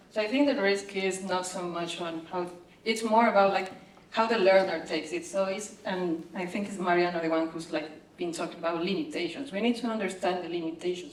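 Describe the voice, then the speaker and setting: A woman with a Spanish accent speaks at medium pitch and a fairly quick pace, with ordinary pitch variation, noticeable background noise and audible room echo. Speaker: researcher, panelist. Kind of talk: panel discussion. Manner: hesitant, many fillers.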